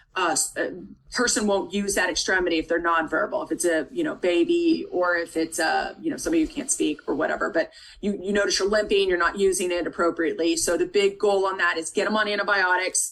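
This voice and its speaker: The voice swings very widely in pitch at a very fast pace, with noticeable background noise. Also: woman, medium pitch for a woman. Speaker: nursing tutor. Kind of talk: tutoring lecture.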